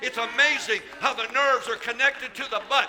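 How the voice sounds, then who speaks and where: A man speaks in a raised, projected voice at an extremely high pitch, with ordinary pitch variation and a moderate pace. There is noticeable background noise. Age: 70s. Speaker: pastor. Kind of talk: sermon. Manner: animated.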